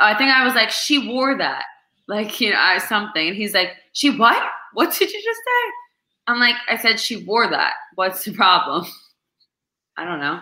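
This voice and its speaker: With a slight New Jersey accent, a woman speaks at a moderate pace in a bright, sharp tone with lively intonation. Her pitch is fairly high, and she takes long, frequent pauses. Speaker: restaurant manager. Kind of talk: casual chat. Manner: animated.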